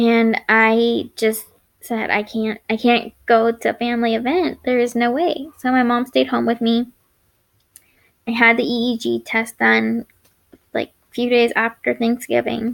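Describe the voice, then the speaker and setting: This woman speaks at a fairly high pitch. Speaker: chronic illness vlogger. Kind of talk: personal vlog story. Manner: halting, speech errors; unedited, stumbling.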